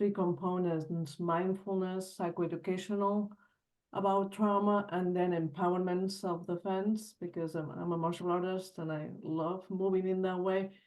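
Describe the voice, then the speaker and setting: With a Spanish accent, a woman speaks at a moderate pace and medium pitch in a dark, mellow tone with monotone, flat intonation. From Spain. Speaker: trauma group facilitator, webinar attendee. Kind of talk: audience question.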